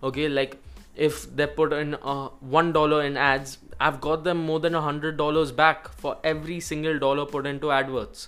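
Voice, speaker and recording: A man's fairly high-pitched voice, monotone and flat, at a moderate pace with music in the background. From India. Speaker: podcast host, digital marketing agency owner. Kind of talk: solo monologue tutorial.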